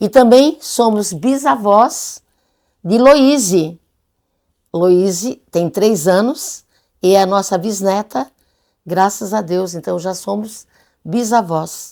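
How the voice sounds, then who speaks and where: A dark, mellow tone at a very slow pace, with long, frequent pauses and a very clean recording over a silent background. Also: woman, medium pitch for a woman, lively intonation. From Brazil, Içara (Santa Catarina). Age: 70s. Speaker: writer and retired teacher. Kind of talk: documentary interview.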